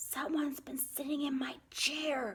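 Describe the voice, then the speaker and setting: Growling in a put-on character voice, a woman speaks at a high pitch and a fairly slow pace. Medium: read story. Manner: grumbling.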